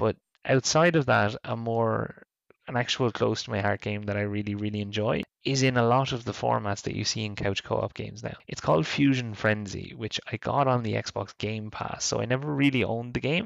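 Speaking at a fairly quick pace, a man with a medium pitch talks with an Irish accent. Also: ordinary pitch variation. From Ireland. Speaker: podcast co-host. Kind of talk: casual chat.

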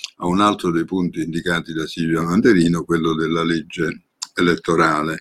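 A man speaks at a moderate pace in a very deep, low voice. The sound is dry and close, with no echo. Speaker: law professor and former senator. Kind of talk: lecture.

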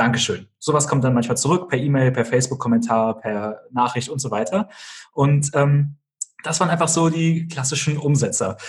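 Somewhat breathy and fairly high-pitched, a man speaks at a moderate pace with ordinary pitch variation. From Germany, small village near Kassel (northern Hesse). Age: 20s. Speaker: entrepreneur and YouTuber. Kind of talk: podcast interview.

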